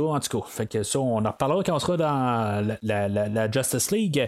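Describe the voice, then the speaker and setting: A man is speaking. His pace is moderate. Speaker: podcast host, film reviewer. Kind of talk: solo film review podcast. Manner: halting, many fillers and repetitions.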